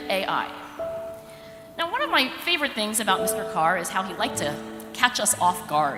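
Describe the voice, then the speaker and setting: With music in the background, a woman with an American accent speaks at a moderate pace. Her fairly high voice moves in very wide pitch swings. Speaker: psychologist and professor. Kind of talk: commencement speech.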